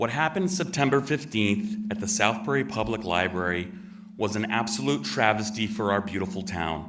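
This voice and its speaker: With an American accent, a man speaks at a moderate pace and a fairly low pitch, making very wide pitch swings amid noticeable background noise and audible room echo. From Connecticut, US. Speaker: resident giving public comment. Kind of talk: public comment speech. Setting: town meeting room with audience, microphone. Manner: formal.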